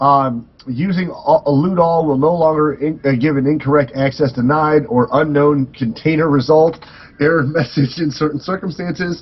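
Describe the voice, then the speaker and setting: A man with a fairly high pitch and a somewhat breathy voice speaks at a moderate pace with fairly even intonation and hardly any pauses. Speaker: gaming podcast co-host. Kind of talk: casual chat, reading patch notes aloud. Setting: live stream recording. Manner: halting, stumbles over words.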